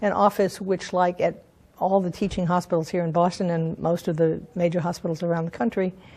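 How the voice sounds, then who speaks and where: A woman's fairly low, dark, mellow voice comes out somewhat breathy and monotone, with flat intonation and a fairly quick pace. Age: 70s. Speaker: sex educator and counselor. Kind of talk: interview. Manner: halting, with fillers.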